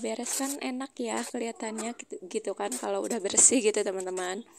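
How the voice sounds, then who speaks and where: Soft-spoken and fairly high-pitched, a woman talks at a fairly quick pace against noticeable background noise. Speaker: housewife vlogger. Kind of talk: vlog voice-over narration. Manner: quiet, soft-spoken; hesitant, many fillers.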